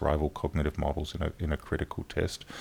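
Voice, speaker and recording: A man talks at a fairly quick pace, captured in a very clean recording with a silent background. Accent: Australian. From South Australia, Adelaide. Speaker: cognitive science professor. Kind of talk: interview. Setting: workshop venue.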